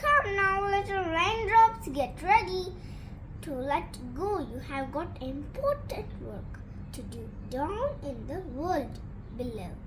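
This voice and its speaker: A woman's put-on character voice, extremely high in pitch, at a fairly slow pace over loud background noise. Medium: read story. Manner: commanding.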